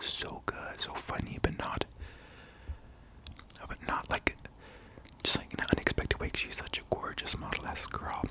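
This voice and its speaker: Whispering with a calm tone, a woman goes at a moderate pace with long, frequent pauses while noticeable background noise runs behind her. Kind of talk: ASMR-style casual talk to camera, opinion commentary. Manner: soft, calm, whispered.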